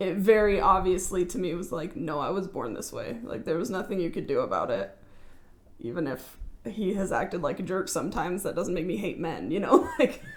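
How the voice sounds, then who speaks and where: With an American accent, a woman speaks at a moderate pace and medium pitch, with audible room echo and noticeable background noise. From California, Central Valley. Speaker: podcast guest. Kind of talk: casual chat. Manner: loud; halting.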